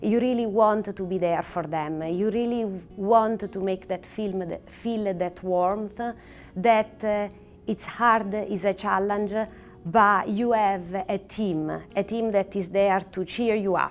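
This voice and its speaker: In an Italian accent, a woman speaks at a very slow pace with medium pitch and fairly even intonation while music plays in the background. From Italy. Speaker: oncologist. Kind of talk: prepared talk to camera. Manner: frequent hesitations with uh and um.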